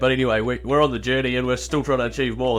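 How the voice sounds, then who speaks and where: In a New Zealand accent, a man speaks at a medium pitch with lively intonation. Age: young. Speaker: business owner and consultant. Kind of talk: podcast interview. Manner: animated.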